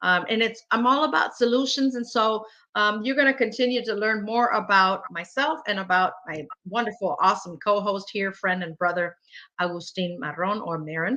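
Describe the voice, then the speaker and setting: At a moderate pace, a woman with a Spanish accent speaks in a fairly high pitch with lively intonation. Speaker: talk show host. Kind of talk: casual chat.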